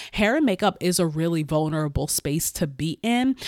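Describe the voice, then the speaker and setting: On a very clean recording with a silent background, a woman with a very deep, low pitch speaks in an animated tone at a moderate pace, with ordinary pitch variation and a dry, close sound with no echo. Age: 30s. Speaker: podcast host and bridal beauty business owner. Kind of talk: solo podcast monologue, business advice.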